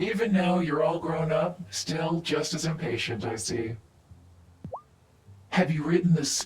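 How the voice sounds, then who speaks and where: In a put-on character voice at middle pitch, the speaker goes fairly slowly with long, frequent pauses. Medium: video game. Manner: measured, authoritative.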